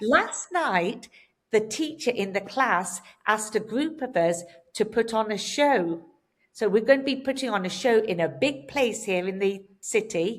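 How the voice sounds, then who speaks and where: In an English accent, a woman speaks at a fairly slow pace with a fairly high pitch and lively intonation. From England. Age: 60s. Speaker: hairdresser and hair color educator. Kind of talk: podcast interview.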